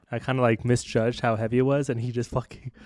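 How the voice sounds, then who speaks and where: A man talks in a monotone, flat intonation. The sound is dry with no echo over a quiet background. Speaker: podcast co-host. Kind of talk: casual podcast storytelling. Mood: amused, laughing while telling story. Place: studio. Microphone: studio mic.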